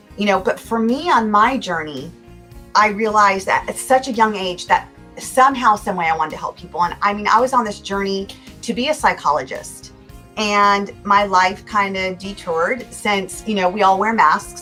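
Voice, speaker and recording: A woman speaks in an American accent at a medium pitch. Music plays in the background. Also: ordinary pitch variation, moderate pace. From California, USA. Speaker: motivational speaker and life coach. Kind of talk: interview answer.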